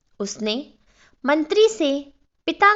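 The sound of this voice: A woman speaks at a slow pace. Her intonation is lively.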